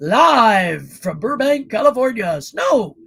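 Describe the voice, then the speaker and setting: A put-on character voice with a fairly high pitch and very wide pitch swings. It moves at a fairly slow pace. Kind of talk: broadcast announcer voice.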